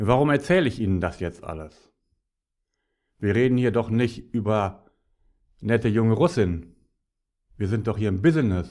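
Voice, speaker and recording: A man talks at a moderate pace with a medium pitch. His intonation is lively, and he leaves long, frequent pauses. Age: 50s. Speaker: podcaster, business speaker. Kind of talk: solo monologue podcast. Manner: animated.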